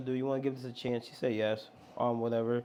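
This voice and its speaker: A man talks at a very fast pace with an American accent. His tone is animated and his pitch is medium. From Long Island, New York. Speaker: worship pastor. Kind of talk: testimony. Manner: casual, animated; loud, rowdy when riled up.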